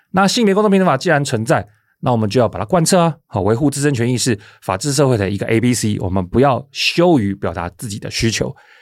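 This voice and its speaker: A man speaks at a very fast pace with very wide pitch swings. The recording is very clean with a silent background. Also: medium pitch for a man. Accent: Taiwanese. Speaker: podcast host, legal website editor. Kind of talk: solo explanatory commentary. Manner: conversational with frequent filler particles.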